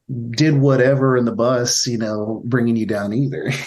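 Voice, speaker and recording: With audible room echo, a man with an American accent speaks at a moderate pace. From Texas, Victoria. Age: 30s. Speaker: touring guitarist and steel guitarist. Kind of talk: casual interview chat.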